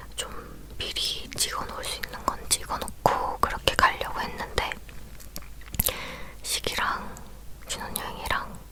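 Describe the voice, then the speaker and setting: A woman whispers at a very slow pace, leaving long, frequent pauses. Background noise is noticeable. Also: big swings in loudness. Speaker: ASMR creator. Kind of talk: whispered talking ASMR, casual personal story. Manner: whispered.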